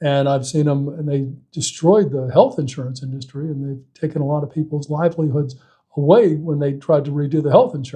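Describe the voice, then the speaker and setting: A man's somewhat breathy voice with a dark, mellow tone, fairly even intonation and a fairly quick pace. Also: fairly high pitch for a man. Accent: American. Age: 60s. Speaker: political candidate and insurance agent. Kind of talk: interview. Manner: halting, many fillers and restarts.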